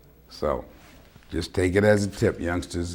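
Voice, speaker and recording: Somewhat breathy man with an American accent, very deep and low in pitch, at a moderate pace with ordinary pitch variation. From New York. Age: 70s. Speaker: public access TV talk show host, military veteran. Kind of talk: call-in talk show monologue. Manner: casual, conversational.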